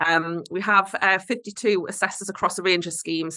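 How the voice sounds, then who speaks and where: Speaking at a very fast pace in a Geordie accent, a woman uses a bright, sharp tone and a monotone, flat intonation. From northeast England. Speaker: certification body representative. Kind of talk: webinar presentation. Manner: hesitant with fillers.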